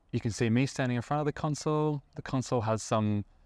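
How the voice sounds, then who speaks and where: In a relaxed tone and with an Australian accent, the voice moves at a fairly quick pace against a quiet background. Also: man. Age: 30s. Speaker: IT worker in visual effects, live sound engineer. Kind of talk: casual interview. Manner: relaxed, with frequent fillers.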